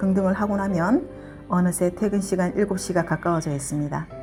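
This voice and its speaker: A woman with a medium-pitched voice and ordinary pitch variation is heard with music in the background. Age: 50s. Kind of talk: casual vlog narration. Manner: fast.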